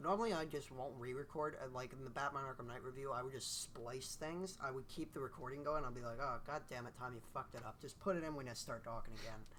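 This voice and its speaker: Bright and sharp in tone, a man speaks at a medium pitch with ordinary pitch variation. He goes at a very fast pace with hardly any pauses. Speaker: video game reviewer and podcast host. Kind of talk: casual chat. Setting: recording in the same room as co-host. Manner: stutters often.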